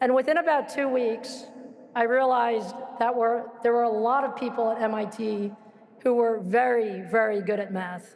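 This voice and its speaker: A woman talks at a moderate pace with a fairly high pitch and ordinary pitch variation. Noticeable background noise and audible room echo fill the recording. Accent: American. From New York (Queens). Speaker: commencement speaker, alumnus. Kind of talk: commencement speech. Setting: stage with audience at graduation ceremony.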